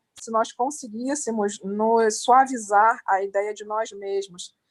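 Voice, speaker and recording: The speaker talks at a fairly slow pace with a Brazilian accent and fairly even intonation. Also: woman. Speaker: event moderator. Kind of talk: interview.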